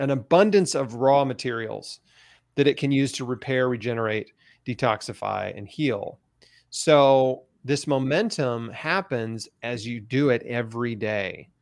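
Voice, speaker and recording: A man's unremarkable speaking voice at medium pitch, fairly slow, with ordinary pitch variation, big swings in loudness, and a very clean recording over a silent background. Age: 40s. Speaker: cancer survivor and patient advocate. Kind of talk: interview.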